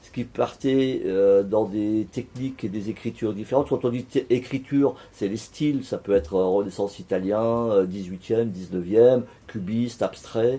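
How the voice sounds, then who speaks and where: At a moderate pace, a man speaks in a medium pitch with a dark, mellow tone, ordinary pitch variation and big swings in loudness. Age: 60s. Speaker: painter. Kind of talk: interview. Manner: halting.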